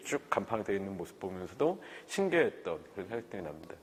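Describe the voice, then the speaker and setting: At a fairly quick pace, a man with a fairly low pitch speaks in a plain, everyday voice. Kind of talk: oral history interview. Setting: recorded interview on camera.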